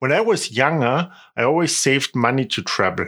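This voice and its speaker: A man with a German accent talks at a moderate pace in a bright, sharp tone with lively intonation, on a very clean recording with a silent background. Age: 30s. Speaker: tour guide. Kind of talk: podcast monologue, travel tips.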